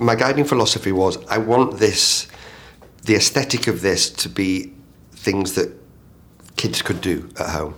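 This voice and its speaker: A man with a northern English accent, fairly low in pitch, fairly slow in pace, lively in intonation, with long, frequent pauses. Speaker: theatre director. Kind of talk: interview. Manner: halting.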